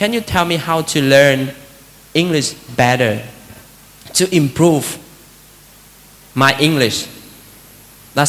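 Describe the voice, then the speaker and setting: Over noticeable background noise, a man with a Vietnamese accent speaks with ordinary pitch variation. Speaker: Buddhist monk giving a talk. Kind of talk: dharma talk. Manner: conversational, many fillers.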